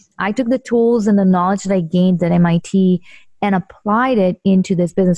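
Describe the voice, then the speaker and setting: Recorded with a dry, close sound and no echo, a woman speaks in a dark, mellow tone that is somewhat breathy. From Israel. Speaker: real estate investor. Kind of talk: interview.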